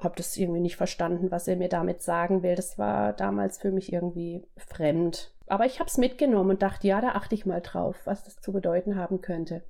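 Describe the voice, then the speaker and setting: A woman talks at a fairly quick pace with hardly any pauses, her pitch medium and its variation ordinary. Her tone is dark and mellow, with vocal fry. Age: 40s. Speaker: pediatric physiotherapist. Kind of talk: interview testimony.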